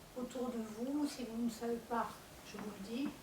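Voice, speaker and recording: Noticeable background noise and audible room echo surround a woman's high-pitched voice. She speaks very slowly, in a monotone, flat intonation. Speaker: panel speaker on commercial court. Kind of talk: public talk to audience. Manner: hesitant, many fillers.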